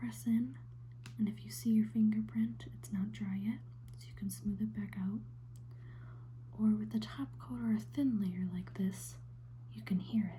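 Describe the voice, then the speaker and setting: A soft-spoken woman talks at a moderate pace, with long, frequent pauses and big swings in loudness. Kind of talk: ASMR soft spoken nail painting.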